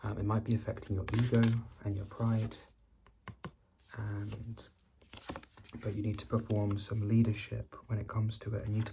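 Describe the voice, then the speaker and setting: A soft-spoken man talks at a moderate pace in a flat monotone, with long, frequent pauses and noticeable background noise. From Britain. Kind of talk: ASMR tarot card reading.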